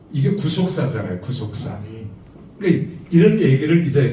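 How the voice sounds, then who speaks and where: A fairly high-pitched man speaks at a moderate pace. Audible room echo surrounds his voice. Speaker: seminary lecturer teaching preachers. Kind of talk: lecture. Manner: animated.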